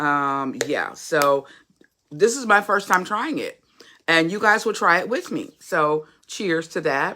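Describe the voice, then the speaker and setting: Loud and bright, sharp in tone, a woman speaks very slowly at medium pitch with very wide pitch swings, in a very clean recording with a silent background. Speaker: YouTube vlogger / motivational podcaster. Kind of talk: casual livestream chat.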